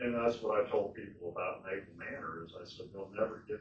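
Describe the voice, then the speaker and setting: A man at a moderate pace, with audible room echo. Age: 70s. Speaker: retired nurse speaking at public meeting. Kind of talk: public comment at county board meeting.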